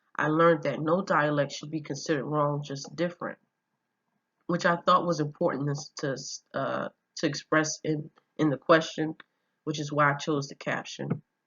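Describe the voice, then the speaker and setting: With a Philadelphia accent, a woman speaks in a very deep, low pitch, her monotone, flat delivery marked by big swings in loudness. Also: moderate pace. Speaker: student. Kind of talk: class presentation. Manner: halting, with fillers.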